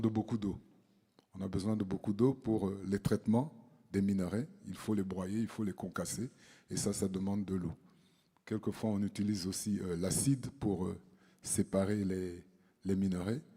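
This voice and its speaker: A man's fairly low, dark, mellow voice at a moderate pace, with fairly even intonation and long, frequent pauses. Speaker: mining cadastre expert, panelist. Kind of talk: conference presentation. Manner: hesitant, many fillers.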